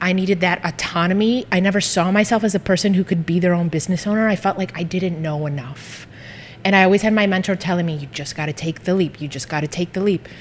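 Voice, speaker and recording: Noticeable background noise sits under speech delivered at a very fast pace with ordinary pitch variation. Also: woman, medium pitch for a woman. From US, Greek immigrant family. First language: Greek. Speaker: social media marketing business owner. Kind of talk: casual interview chat. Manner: animated.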